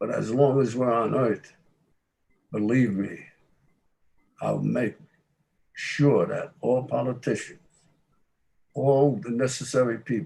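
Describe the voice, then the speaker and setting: With a dark, mellow tone and medium pitch, a man speaks at a fairly slow pace with ordinary pitch variation and long, frequent pauses. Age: 80s. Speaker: war veteran. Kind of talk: ceremony remarks.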